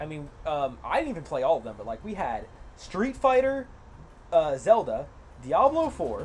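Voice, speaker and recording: The speaker has an animated tone and a moderate pace. Music plays in the background. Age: 20s. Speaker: gaming streamer. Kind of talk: live gameplay stream chat.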